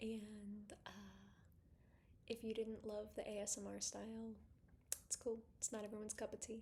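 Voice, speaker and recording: Whispering in a soft-spoken, somewhat breathy way, a woman keeps a moderate pace broken by long, frequent pauses. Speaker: fitness instructor. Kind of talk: ASMR-style casual vlog. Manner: soft-spoken, whispery ASMR delivery.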